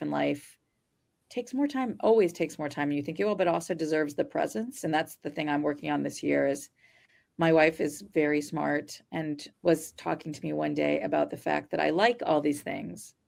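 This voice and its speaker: On a very clean recording with a silent background, a woman with an American accent talks at a fairly quick pace. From New Jersey. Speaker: podcast host, physician coach. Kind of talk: podcast interview. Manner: fast.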